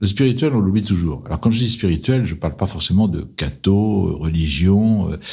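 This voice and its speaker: A man talks at a moderate pace, hardly pausing, with a fairly low pitch and lively intonation. His voice is somewhat breathy, with a dark, mellow tone. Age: 60s. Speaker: private equity investor. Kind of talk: interview.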